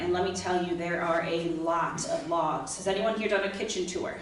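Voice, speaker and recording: A woman is speaking over noticeable background noise. Echo from the room can be heard. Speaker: dining services manager at senior living community. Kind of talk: informational talk to residents. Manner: fast.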